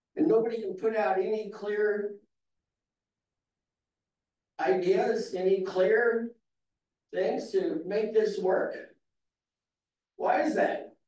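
A man's high voice carries ordinary pitch variation and audible room echo. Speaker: public commenter. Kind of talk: public comment speech. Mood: critical, exasperated. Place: hall.

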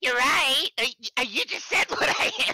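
A high, female-sounding put-on character voice at a fairly slow pace

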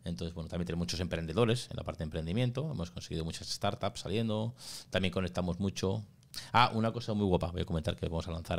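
In a Spanish accent, a man with a very deep, low pitch talks at a very fast pace with ordinary pitch variation. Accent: Spanish (Spain). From Spain. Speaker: school founder and migrant; podcast guest. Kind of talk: interview. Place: studio. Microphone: studio mic.

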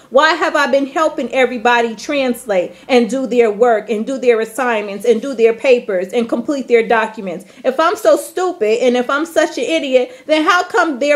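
A woman's high-pitched, lively intonation at a moderate pace, with hardly any pauses. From US Midwest, Chicago. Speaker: vlogger and teacher abroad; vlogger, teacher abroad. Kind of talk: angry rant vlog. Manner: emphatic, repeated okay. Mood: angry, hurt, confrontational. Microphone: phone near.

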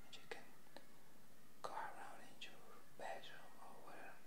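At a moderate pace, the speech comes through over loud background noise. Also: man. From Mexico. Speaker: ASMR creator. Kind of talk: ASMR rambling to camera. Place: home room. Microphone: earbuds.

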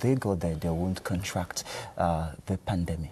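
Over light background noise, a man talks in a very deep, low voice with fairly even intonation. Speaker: TV interviewer. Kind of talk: TV interview. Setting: studio. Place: studio.

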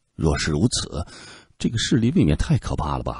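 Against a quiet background, a man with a fairly low pitch and a dark, mellow tone uses a dramatic, calm delivery with very wide pitch swings and vocal fry. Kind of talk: literary audiobook narration. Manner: dramatic, expressive, shifting from calm narration to tense, rhetorical questioning; steady measured pacing, tone turns grave in suspenseful passages.

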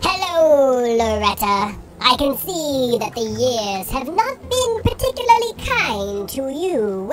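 A woman's squeaky, high-pitched put-on character voice at a fairly slow pace, over clear background noise

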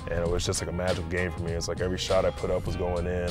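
A man's very deep, low voice at a very fast pace, clear music in the background, and a dry sound with no echo. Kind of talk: interview answer. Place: car.

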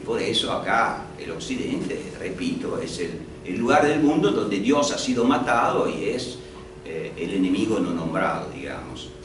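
A man speaks at a fairly slow pace. There is audible room echo along with noticeable background noise. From Italy. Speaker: history professor. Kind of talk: panel discussion. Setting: stage with audience. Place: hall.

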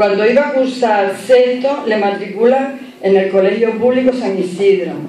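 A woman speaks at a fairly slow pace with ordinary pitch variation. Audible room echo and light background noise are present. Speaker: presenter introducing the festival speaker. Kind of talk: formal introduction speech read aloud. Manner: informal, hesitant with fillers. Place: hall. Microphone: podium.

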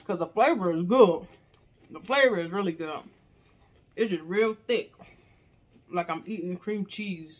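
A woman speaks at a moderate pace. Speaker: mukbang vlogger. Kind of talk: casual vlog chat. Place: home room. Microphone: phone near.

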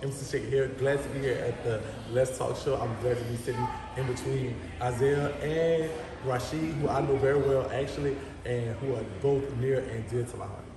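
A man's intonation stays fairly even while noticeable background noise carries on behind him. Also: moderate pace. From New Orleans, Louisiana (7th Ward). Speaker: social media personality. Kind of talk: casual chat. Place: home room.

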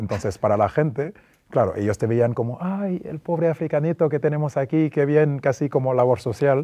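A man's dark, mellow tone at a fairly quick pace against a quiet background. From Senegal. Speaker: former basketball player; interview guest. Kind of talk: interview. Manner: hesitant with fillers. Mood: calm, reflective, friendly. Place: studio. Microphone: lapel.

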